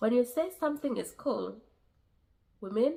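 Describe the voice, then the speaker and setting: A woman talks at a fairly slow pace with lively intonation and vocal fry. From Kenya. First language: a Kenyan language, not English. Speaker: vlogger. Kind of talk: advice vlog. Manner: halting, with fillers and repeats.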